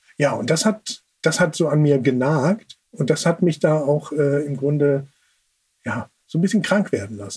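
Fairly high-pitched, somewhat breathy speech from a man at a fairly slow pace. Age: 40s. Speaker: sibling advocate. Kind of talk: interview. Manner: halting.

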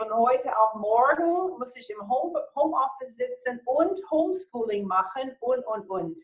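A high-pitched woman's voice in an American accent, fairly slow yet with hardly any pauses, marked by very wide pitch swings. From USA. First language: English (speaking German). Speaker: motivational speaker and coach. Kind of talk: interview.

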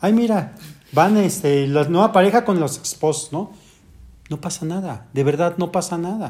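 A high-pitched man's voice at a fairly slow pace, with ordinary pitch variation. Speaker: orthopedic surgeon. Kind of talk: casual chat. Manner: soft-spoken.

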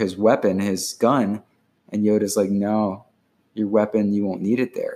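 An ordinary speaking voice from a man, fairly low in pitch and fairly slow in pace. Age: 40s. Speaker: poet, writer and relationship blogger. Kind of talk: casual chat.

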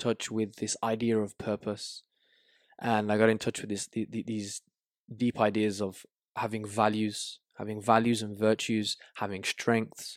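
A man speaks with a Birmingham accent at a medium pitch. The sound is dry and close, without echo. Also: very clean recording, silent background. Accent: Birmingham English (Brummie). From Birmingham, England. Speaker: life coach. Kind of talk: casual interview chat. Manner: halting, repeats words.

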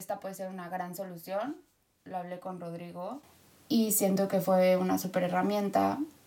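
A woman speaks in an unremarkable speaking voice at a medium pitch. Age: 30s. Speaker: podcast guest, host's sister. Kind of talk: casual chat.

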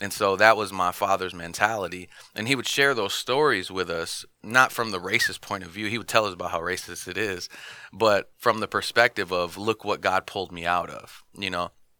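A man with an American accent speaks in an unremarkable speaking voice, fairly low in pitch, at a moderate pace with ordinary pitch variation and big swings in loudness. The recording is very clean with a silent background. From Michigan, US. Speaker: pastor. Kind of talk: testimony. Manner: casual, with many fillers.

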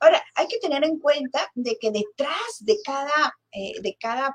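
A woman speaks at a very slow pace and high pitch, her voice swinging very widely. The recording is dry and close, with no echo. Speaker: podcast host. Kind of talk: interview.

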